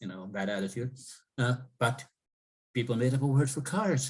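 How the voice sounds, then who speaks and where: The speaker is a man with a medium-pitched voice. It sounds somewhat breathy. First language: Cree. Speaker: professor. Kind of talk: interview.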